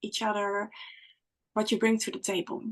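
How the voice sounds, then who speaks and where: A woman with a Dutch accent and fairly high pitch against a quiet background. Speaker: spiritual guide. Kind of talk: podcast conversation. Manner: halting.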